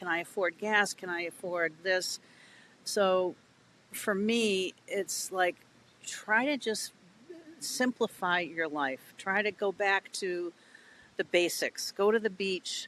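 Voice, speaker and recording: With a New England accent, the speaker talks at a very slow pace with ordinary pitch variation, in a dry, close sound with no echo. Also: woman, medium pitch for a woman. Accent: New England American. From New England, US. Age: 60s. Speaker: children's author. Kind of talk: podcast interview.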